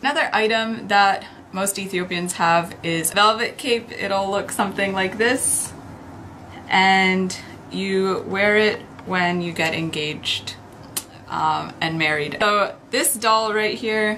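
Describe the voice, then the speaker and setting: At a very slow pace, a woman with an American accent speaks at a medium pitch with ordinary pitch variation, and audible room echo can be heard. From United States. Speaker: YouTuber. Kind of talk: show-and-tell vlog.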